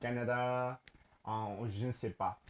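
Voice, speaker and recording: Someone with a Spanish accent speaks at a very slow pace. Noticeable background noise is present. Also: man. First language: Spanish (speaking French). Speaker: language learner and teacher. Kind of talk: casual vlog talk to camera. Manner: halting, many fillers and repetitions.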